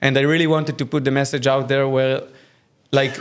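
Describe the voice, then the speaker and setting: With an Israeli accent, a man speaks in a fairly high pitch. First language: Hebrew. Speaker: AI filmmaker. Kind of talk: casual interview. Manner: halting.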